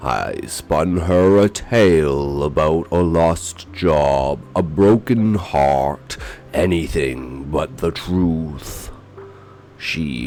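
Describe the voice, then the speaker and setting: Over clear background music, a man talks very slowly in a very deep, low pitch. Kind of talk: horror narration. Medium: read story. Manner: somber, brooding.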